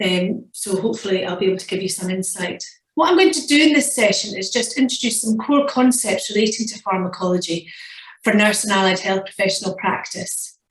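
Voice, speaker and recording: The speaker has a Scottish accent. Room echo is audible. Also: woman, medium pitch for a woman, ordinary pitch variation, fairly quick pace. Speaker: nursing professor. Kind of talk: lecture. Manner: fast.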